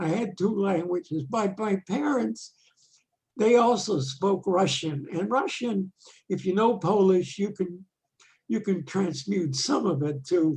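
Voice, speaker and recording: A man with a high voice speaks fairly slowly, his intonation lively. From Poland. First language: Yiddish. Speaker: retired exchange chairman. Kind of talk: interview.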